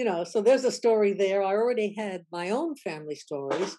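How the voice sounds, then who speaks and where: In a quiet background, a woman with an American accent talks at a fairly quick pace, her dark, mellow tone at medium pitch with lively intonation. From United States. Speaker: professor. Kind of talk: interview. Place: home room. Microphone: webcam.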